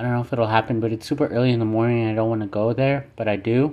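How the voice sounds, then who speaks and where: A man speaks at a medium pitch. His intonation stays monotone and flat. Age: 30s. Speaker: solo podcaster. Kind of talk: personal monologue. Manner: reflective, casual.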